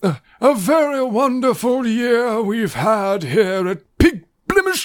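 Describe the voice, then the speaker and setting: Using a put-on character voice, a man speaks at a very slow pace with an extremely high pitch. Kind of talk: formal. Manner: pompous, throat-clearing.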